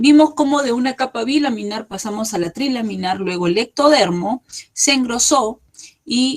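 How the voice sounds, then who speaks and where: A woman with an ordinary speaking voice, a fairly high pitch, lively intonation and a moderate pace. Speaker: embryology lecturer. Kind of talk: lecture.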